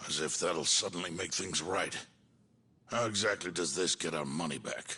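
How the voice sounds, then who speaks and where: Putting on a character voice, a man talks at a moderate pace in a raspy, very deep, low register with ordinary pitch variation. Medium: video game. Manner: terse, firm.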